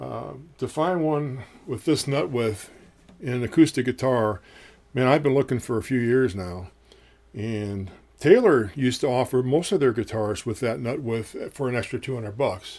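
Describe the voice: With a slightly mellow tone, a man speaks at a moderate pace in a medium pitch with ordinary pitch variation.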